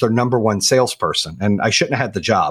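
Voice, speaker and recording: In an American accent, a man speaks very fast at a medium pitch, the sound dry and close with no echo. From Arizona, then North Carolina from age 14. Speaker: company founder and podcast host. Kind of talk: interview.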